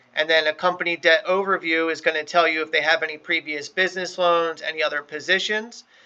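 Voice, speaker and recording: Over a quiet background, a man speaks very fast in a fairly high pitch, with a bright, sharp tone and monotone, flat intonation. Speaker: loan brokerage trainer. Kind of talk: training session.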